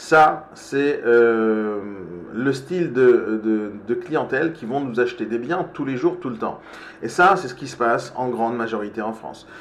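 At a fairly slow pace, a man of medium pitch speaks with lively intonation amid noticeable background noise and audible room echo. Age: 40s. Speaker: entrepreneur and live-stream coach. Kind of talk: live-stream motivational talk. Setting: live video stream with participants. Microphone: microphone problem.

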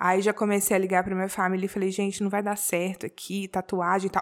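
A woman with an ordinary speaking voice talks at a fairly quick pace and a medium pitch. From Brazil, Belo Horizonte, Minas Gerais. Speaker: tattoo artist. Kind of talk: casual interview.

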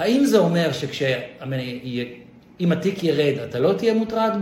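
A man's fairly high voice at a fairly slow pace, with very wide pitch swings, audible room echo and noticeable background noise. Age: 40s. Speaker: investment manager. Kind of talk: interview.

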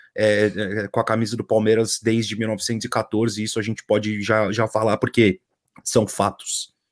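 The sound is dry and close with no echo, and the speech comes at a fairly slow pace in a monotone, flat intonation. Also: man, fairly low pitch for a man. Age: 30s. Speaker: football commentator. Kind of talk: casual post-match chat.

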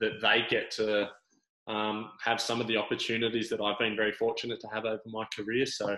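In an Australian accent, a man with a fairly low pitch talks at a fairly quick pace in a monotone, flat intonation. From Sydney, Australia. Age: 30s. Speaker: surf ironman athlete. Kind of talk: casual interview.

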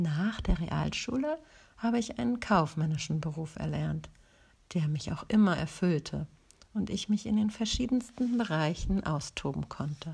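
Fairly slow speech from a woman with a fairly low pitch, vocal fry and lively intonation, in a very clean recording with a silent background. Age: 40s. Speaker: podcast host. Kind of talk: personal introduction monologue.

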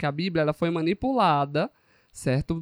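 A man with a Pernambuco accent, in a dry, close sound with no echo. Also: very clean recording, silent background. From rural Pernambuco, Brazil. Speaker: psychologist. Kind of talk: casual chat.

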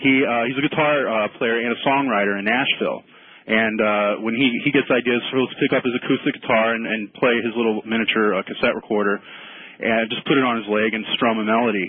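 Over noticeable background noise, a man of medium pitch talks at a fairly quick pace with fairly even intonation. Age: 30s. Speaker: caller. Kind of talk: phone-in story. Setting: phone call.

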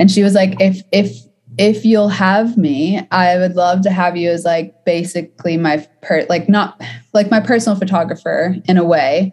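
Her voice is somewhat breathy and medium in pitch for a woman. She keeps a moderate pace with fairly even intonation. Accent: American. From US South, Atlanta. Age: 20s. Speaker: photographer. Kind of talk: casual interview chat.

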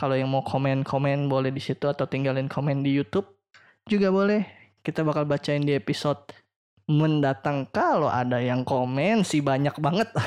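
A man speaks at a fairly high pitch with ordinary pitch variation and very even loudness over a quiet background. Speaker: podcast host. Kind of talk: casual chat.

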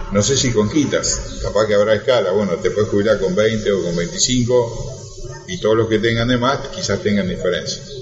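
A man speaks with hardly any pauses. Noticeable background noise is present. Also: moderate pace. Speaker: retirees' movement member. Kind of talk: interview. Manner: halting.

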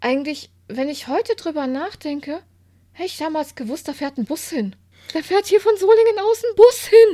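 Extremely high in pitch, this woman's voice has a dark, mellow tone and very wide pitch swings. The recording is very clean, with a silent background. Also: moderate pace. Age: 40s. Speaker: podcast co-host. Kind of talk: casual chat. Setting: home living room.

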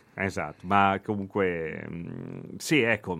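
Delivered at a very slow pace, the speech comes through on a very clean recording with a silent background. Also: man. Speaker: punk musician and songwriter. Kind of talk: radio interview. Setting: radio studio. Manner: halting.

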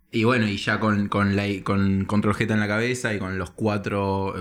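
This man has a plain, everyday voice. He speaks at a moderate pace. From Spain. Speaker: comedy screenwriter. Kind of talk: casual chat.

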